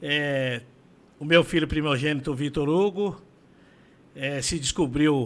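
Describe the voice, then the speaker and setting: A man with a fairly high voice, a very slow pace, fairly even intonation and long, frequent pauses. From São Paulo, Brazil. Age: 60s. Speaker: condominium administrator. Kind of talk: interview testimony.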